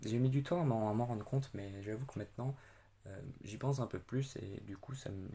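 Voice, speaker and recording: A man's voice with a dark, mellow tone moves at a moderate pace with ordinary pitch variation. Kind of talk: testimony. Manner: loud.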